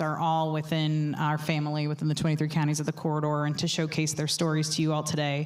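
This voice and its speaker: A woman with an American accent speaks at a very deep, low pitch, with audible room echo and noticeable background noise. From New York. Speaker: panel moderator. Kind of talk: panel discussion. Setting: stage with audience. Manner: loud.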